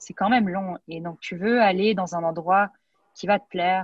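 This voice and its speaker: With fairly even intonation, a woman takes a fairly slow pace. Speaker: neurology resident. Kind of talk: interview. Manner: hesitant with frequent repetitions.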